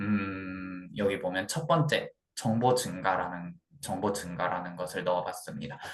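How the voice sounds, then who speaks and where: A man with a very deep, low pitch speaks at a fairly slow pace with ordinary pitch variation. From Gyeongsang region, South Korea. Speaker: student presenter. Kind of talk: class presentation. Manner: halting, with frequent repetitions.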